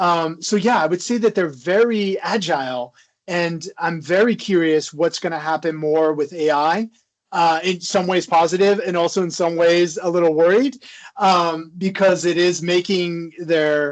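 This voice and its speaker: Someone with an American accent speaks at a fairly slow pace against a quiet background. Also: man, high pitch for a man, ordinary pitch variation. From US South. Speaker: psychology professor. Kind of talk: interview.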